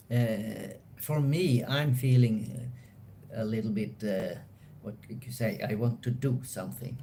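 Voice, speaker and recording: In a room with audible echo, a man with a medium pitch and a dark, mellow, somewhat breathy tone speaks at a fairly slow pace with fairly even intonation. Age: 60s. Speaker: host's partner. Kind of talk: casual chat. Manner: halting.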